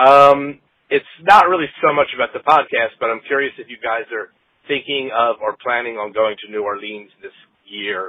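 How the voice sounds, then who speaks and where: A man with a normal speaking voice at medium pitch talks at a moderate pace, with big swings in loudness. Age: middle-aged. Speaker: listener leaving a voicemail, former podcaster. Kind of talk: voicemail message. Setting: phone voicemail.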